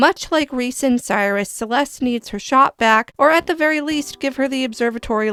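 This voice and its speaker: Over music in the background, the voice moves at a moderate pace with ordinary pitch variation and a dry, close sound with no echo. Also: woman. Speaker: gaming YouTuber. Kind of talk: casual talk to camera.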